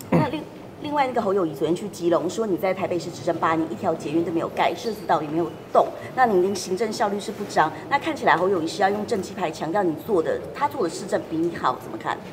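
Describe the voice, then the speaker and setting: Noticeable background noise sits under speech delivered at a very fast speed. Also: woman, medium pitch for a woman. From Taiwan. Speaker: reporter. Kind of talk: press interview. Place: hall.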